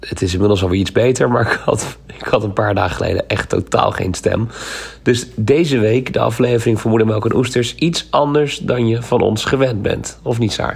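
Against noticeable background noise, a man with a medium pitch talks fairly quickly with ordinary pitch variation. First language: Dutch. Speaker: podcast co-host. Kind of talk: casual chat.

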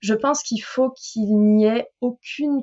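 A woman speaks with a slight southern French accent at a fairly high pitch. Her pace is very slow, with ordinary pitch variation. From southern France. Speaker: French language coach. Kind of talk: casual interview chat. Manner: hesitant, many fillers.

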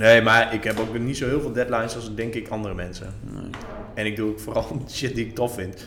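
Music playing underneath a fairly even intonation. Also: man, medium pitch for a man, fairly quick pace. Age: 30s. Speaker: author and blogger. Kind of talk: casual chat.

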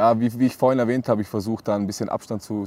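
The recording is very clean, with a silent background. A man talks at a very fast pace in a dark, mellow tone with fairly even intonation. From Austria, Vorarlberg. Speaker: professional football goalkeeper. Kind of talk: casual interview.

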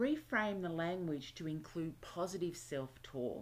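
With an Australian accent, a woman speaks fairly slowly at a fairly low pitch. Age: 50s. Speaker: self-help podcast host. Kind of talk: solo self-help podcast monologue.

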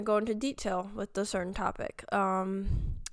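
In a very clean recording with a silent background, a woman talks at a medium pitch with a clear, smooth tone.

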